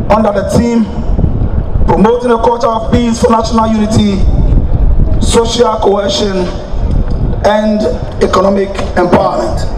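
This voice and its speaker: At a moderate pace with long, frequent pauses, the speech sits over noticeable background noise. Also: man. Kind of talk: formal ceremonial speech. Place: street. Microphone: podium.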